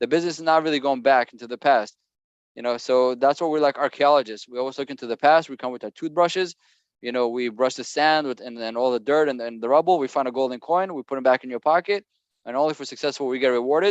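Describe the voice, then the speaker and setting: Talking very fast, a man of medium pitch shows big swings in loudness. The sound is dry and close with no echo, over a quiet background. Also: ordinary pitch variation. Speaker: business co-founder presenting to sellers. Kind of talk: webinar presentation. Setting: video call livestream.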